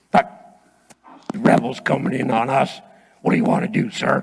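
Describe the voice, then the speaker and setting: A put-on character voice, raspy and at a moderate pace, swings very widely in pitch. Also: man, high pitch for a man. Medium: stage play. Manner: gruff, commanding, paranoid.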